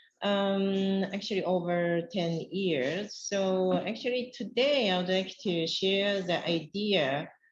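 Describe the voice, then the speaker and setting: With a Japanese accent, a woman speaks at a very slow pace and very even loudness, her medium pitch showing ordinary pitch variation. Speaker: academic researcher. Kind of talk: conference presentation. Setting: conference panel.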